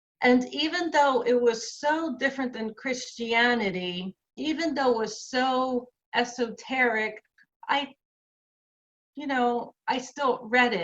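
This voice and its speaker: Speaking at a very slow pace, a woman with a New Jersey accent uses a high pitch with ordinary pitch variation. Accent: New Jersey American English. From New Jersey, USA. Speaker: activist, author and columnist. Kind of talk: personal lecture talk.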